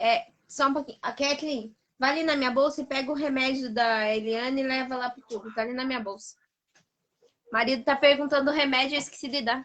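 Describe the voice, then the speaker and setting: A woman's high voice with a strong Paraná accent, fairly quick pace, and fairly even intonation. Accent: strong Paraná accent, drops some Rs and Ss. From Brazil, interior of Paraná (small town). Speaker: pedagogy student. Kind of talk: casual chat. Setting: live video stream.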